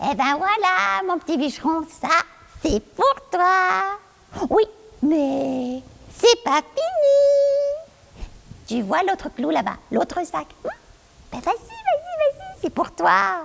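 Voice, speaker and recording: An extremely high, female-sounding put-on character voice at a very slow pace, with long, frequent pauses. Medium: stage play. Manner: coaxing, insistent.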